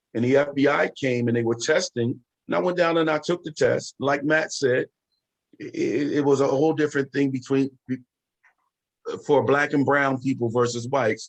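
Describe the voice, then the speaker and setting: A man speaks at a moderate pace with an American accent, his pitch fairly high for a man. It is a plain, everyday voice with fairly even intonation. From Chester, Pennsylvania area. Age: 50s. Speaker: retired FBI agent. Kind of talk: panel discussion.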